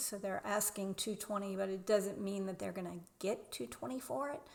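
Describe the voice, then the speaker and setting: A woman speaks at a medium pitch in a Southern US accent. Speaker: real estate agent. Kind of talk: screen-share tutorial.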